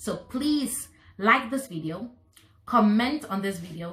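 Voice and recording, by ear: A woman speaks at a fairly slow pace. Her intonation is lively and her tone fairly bright.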